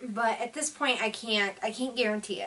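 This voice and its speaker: Putting on a raspy character voice, a woman speaks at a fairly high pitch and moderate pace. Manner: weary, apologetic.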